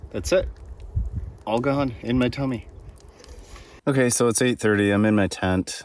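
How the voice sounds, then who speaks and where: The recording is very clean, with a silent background. A man speaks with an American accent. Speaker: solo canoe camping vlogger. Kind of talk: casual vlog narration. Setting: outdoors, camping in tent and canoe on lake.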